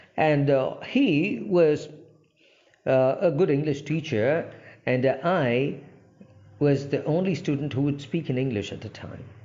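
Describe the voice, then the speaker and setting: Audible room echo surrounds a voice with ordinary pitch variation. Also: man. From India, Andhra Pradesh. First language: Telugu. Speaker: English language trainer. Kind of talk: informal talk to camera. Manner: halting, many fillers.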